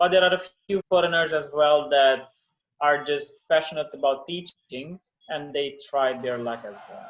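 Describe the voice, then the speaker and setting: Fairly high in pitch, a man talks at a moderate pace. His intonation is fairly even, but his loudness swings widely. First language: not English. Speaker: English teacher. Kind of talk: interview.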